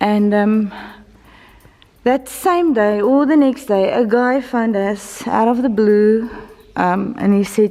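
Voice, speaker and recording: The speaker goes very slowly, with long, frequent pauses and very even loudness. Room echo and noticeable background noise are audible. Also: woman, fairly high pitch for a woman, ordinary pitch variation. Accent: Afrikaans South African. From South Africa. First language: Afrikaans. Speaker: church member and vlogger. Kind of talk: casual video update. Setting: church building under construction. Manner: halting, with fillers and repeats.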